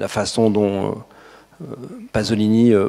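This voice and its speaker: A man talks with a pitch that sits fairly low. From France. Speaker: journalist and photographer. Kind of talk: talk to an audience. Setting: hall with audience. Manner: hesitant, many fillers.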